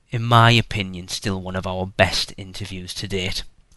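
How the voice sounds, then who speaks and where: Over a quiet background, a man with a British accent talks at a moderate pace in a fairly low pitch, his tone bright and sharp and his intonation monotone and flat. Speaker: podcast host. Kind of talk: podcast intro monologue. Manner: rambling, many fillers.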